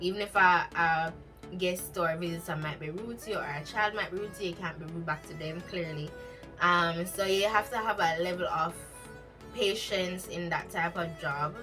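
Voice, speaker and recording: Over music in the background, the voice moves at a moderate pace with ordinary pitch variation. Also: woman, fairly low pitch for a woman. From Jamaica. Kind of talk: casual talk to camera.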